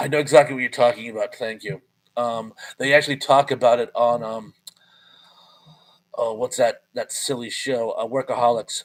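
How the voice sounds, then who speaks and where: The man speaks at a moderate pace. He leaves long, frequent pauses. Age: 50s. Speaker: live streamer. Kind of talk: casual live stream chat reading viewer comments. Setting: live stream.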